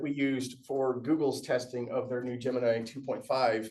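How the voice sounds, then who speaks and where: A man is talking. Audible room echo is present. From Aberdeen, Scotland, raised in US. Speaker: tech presenter. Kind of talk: tech workshop talk. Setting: meetup room with audience. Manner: casual, animated.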